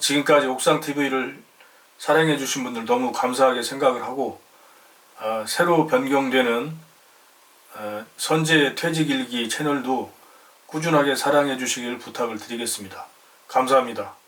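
A man speaks at a moderate pace with medium pitch and fairly even intonation, leaving long, frequent pauses over noticeable background noise. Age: 50s. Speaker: retiree YouTuber. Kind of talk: channel announcement. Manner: formal.

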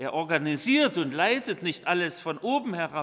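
A quiet background behind a man's fairly slow speech. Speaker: preacher. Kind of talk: sermon. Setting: church. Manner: formal; earnest. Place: church. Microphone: podium.

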